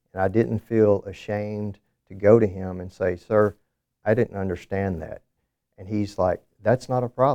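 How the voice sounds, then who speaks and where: In a Southern US accent, a man speaks at a moderate pace with a fairly low pitch and a dark, mellow tone. The sound is dry and close, without echo. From southern Alabama. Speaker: government contracting director. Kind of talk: interview.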